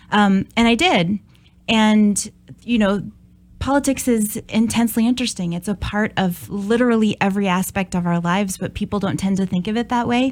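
A woman speaks with an American accent, in a normal speaking voice at medium pitch with ordinary pitch variation. Her pace is moderate, and the recording is very clean with a silent background. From Minnesota, US Midwest. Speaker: political science professor. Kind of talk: interview.

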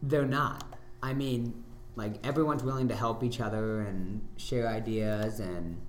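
With noticeable background noise and audible room echo, a man of medium pitch speaks fairly slowly with ordinary pitch variation. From South Dakota, Sioux Falls area. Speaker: ninja gym owner and athlete. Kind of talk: casual chat.

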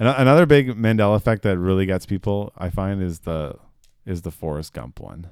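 A man talks at a fairly quick pace in a fairly low voice with lively intonation and big swings in loudness. The recording is very clean, with a silent background. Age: 30s. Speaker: guitarist and air force member. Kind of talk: casual chat.

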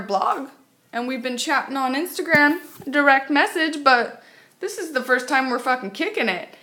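A woman speaks in a high pitch with a raised, projected voice. Her tone is animated and her intonation lively. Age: 30s. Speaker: podcaster. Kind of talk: casual solo rant. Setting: home, on couch, solo recording.

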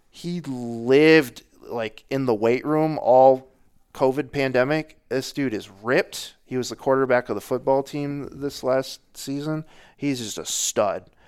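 An unremarkable speaking voice with fairly even intonation, captured in a very clean recording over a silent background. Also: man, medium pitch for a man, fairly slow pace. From Northern Michigan. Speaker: local sports reporter. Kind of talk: casual chat.

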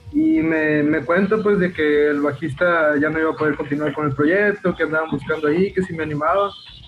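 A man's fairly high voice at a fairly quick pace with fairly even intonation, amid noticeable background noise. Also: hardly any pauses, very even loudness. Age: 20s. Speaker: rock band bassist. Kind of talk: casual interview chat. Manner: halting, with frequent repetitions.

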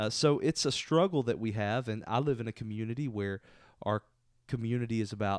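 Speaking at a fairly quick pace, a man has an unremarkable speaking voice with fairly low pitch and an American accent. The sound is dry and close with no echo, over a quiet background. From Southeast Texas. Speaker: pastor. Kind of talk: casual chat. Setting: office couch.

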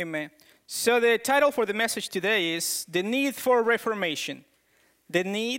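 A man's high, bright, sharp voice with a strong non-native accent, at a fairly slow pace, on a very clean recording with a silent background. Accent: thick foreign. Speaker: preacher. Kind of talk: sermon. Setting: church.

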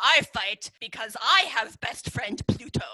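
A woman's put-on character voice, fairly high in pitch and fairly slow, with a dry, close sound and no echo. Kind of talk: broken English.

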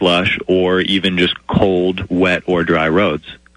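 Noticeable background noise sits behind speech at a very slow pace. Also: man. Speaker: tire industry expert. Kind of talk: radio interview.

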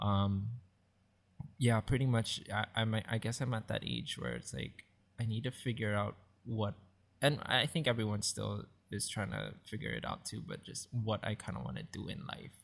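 In a very clean recording with a silent background, a man with a fairly low, vocal-fried voice talks at a moderate pace with ordinary pitch variation and long, frequent pauses. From Hawaii, Maui. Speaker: church youth treasurer. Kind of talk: casual chat.

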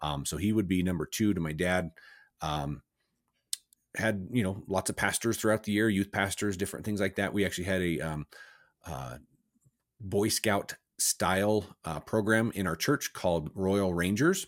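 A man's very deep, low voice with a General American accent, ordinary pitch variation, long and frequent pauses, and a dry, close sound with no echo. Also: moderate pace. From Southwest Colorado, US. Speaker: educator and business owner. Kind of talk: interview.

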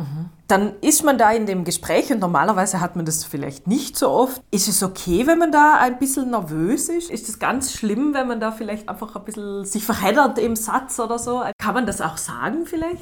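Over noticeable background noise, the speech moves at a moderate pace with hardly any pauses and very wide pitch swings. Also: woman, fairly high pitch for a woman. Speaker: podcast host. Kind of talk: interview.

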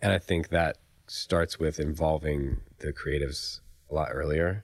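A man's very deep, low voice with vocal fry and an American accent, fairly even intonation and a moderate pace, on a very clean recording with a silent background. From US South, Raleigh, North Carolina. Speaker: film and commercial producer. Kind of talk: casual interview chat.

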